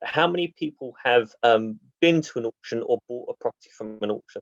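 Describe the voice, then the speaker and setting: Speaking at a fairly quick pace with a British accent, a man is heard in a dry, close sound with no echo. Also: quiet background. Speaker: property auction investor speaker. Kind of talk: online presentation. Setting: video call. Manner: fast.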